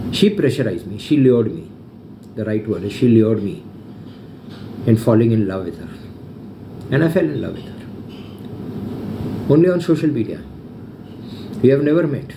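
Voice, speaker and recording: Over noticeable background noise and audible room echo, a man speaks at a fairly quick pace with very wide pitch swings, big shifts in loudness, and long, frequent pauses. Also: medium pitch for a man. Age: 60s. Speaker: social media vlogger. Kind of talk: personal video update. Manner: emotional, repetitive.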